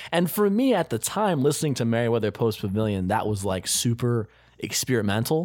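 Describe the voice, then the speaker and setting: The speech moves at a moderate pace with lively intonation. The recording is very clean, with a silent background. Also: man. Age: 20s. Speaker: podcast host. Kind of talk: casual chat. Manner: animated.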